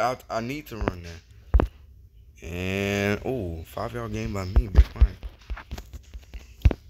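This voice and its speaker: There is noticeable background noise as a man speaks in a very deep, low pitch. His pitch swings very widely and his loudness rises and falls sharply. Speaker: gaming YouTuber. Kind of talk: live play-by-play commentary of a video game, narrating each pass and catch. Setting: home recording while playing a video game. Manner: animated, excitable.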